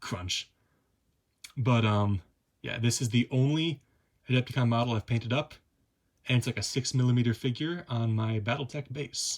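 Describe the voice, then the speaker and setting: The voice is somewhat breathy. Long pauses come often. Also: man, medium pitch for a man, ordinary pitch variation. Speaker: hobby YouTuber. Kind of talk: casual show-and-tell. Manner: fast; hesitant, many fillers.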